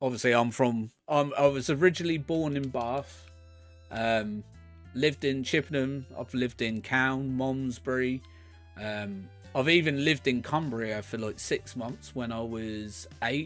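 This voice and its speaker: A man with a slight northern English accent talks at a fairly slow pace and medium pitch. His pitch varies in an ordinary way, with music in the background. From southern England. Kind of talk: casual conversational.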